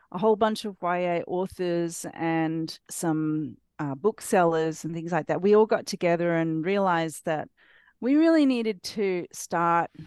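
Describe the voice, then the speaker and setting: Against a quiet background, a woman with an Australian accent speaks at a fairly slow pace and fairly low pitch with ordinary pitch variation, in a dry, close sound with no echo. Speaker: author. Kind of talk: casual interview chat. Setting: video call.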